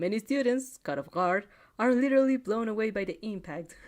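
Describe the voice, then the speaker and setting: A woman with a non-native accent speaks at a moderate pace with lively intonation on a very clean recording over a silent background. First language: not English. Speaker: fanfic reaction reader. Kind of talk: casual chat; reading aloud with reactions. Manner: halting; animated. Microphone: new microphone.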